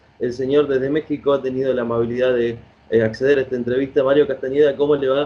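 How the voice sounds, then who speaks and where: A man with a medium pitch speaks at a very fast pace in a monotone, flat intonation. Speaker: radio host. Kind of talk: radio interview questions.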